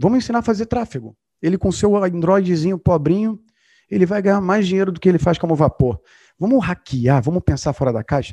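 Over a quiet background, a man with a high-pitched voice and dark, mellow tone speaks at a fairly quick pace with lively intonation, the sound dry and close with no echo. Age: 40s. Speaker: entrepreneur. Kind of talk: podcast interview.

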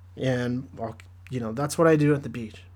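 This man has an American accent and ordinary pitch variation, speaking at a moderate pace. The recording is very clean, with a silent background. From Southern California. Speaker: podcast host teaching the Bible. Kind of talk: casual Bible study commentary. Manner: casual with many fillers.

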